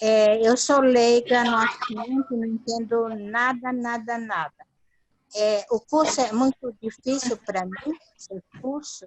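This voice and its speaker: Fairly even intonation accompanies speech delivered at a very slow pace. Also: woman, fairly high pitch for a woman. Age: 60s. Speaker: class participant. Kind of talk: question in online class.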